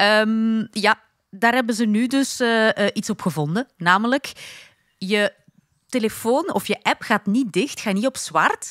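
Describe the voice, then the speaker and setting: Recorded against a quiet background with a dry sound with no echo, a woman in a Flemish accent speaks at a fairly slow pace and a fairly high pitch, with ordinary pitch variation and very even loudness. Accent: Flemish Dutch. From Flanders, Belgium. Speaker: podcast co-host. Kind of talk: casual chat.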